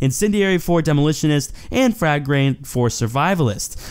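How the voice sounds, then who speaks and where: A man speaks with ordinary pitch variation. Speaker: gaming youtuber. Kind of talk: video commentary. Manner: casual, filler-heavy.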